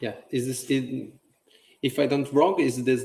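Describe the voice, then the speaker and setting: A man speaks at a medium pitch with a Roman accent. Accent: Roman Italian. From Italy, Rome. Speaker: podcast host. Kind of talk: casual chat. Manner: halting.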